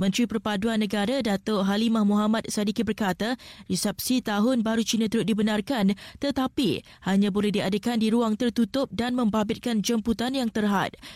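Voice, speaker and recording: Very clean recording with a silent background, a dry, close sound with no echo, and a woman's fairly high, somewhat breathy voice at a moderate pace with very even loudness. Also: fairly even intonation. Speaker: news presenter. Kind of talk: news reading. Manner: formal.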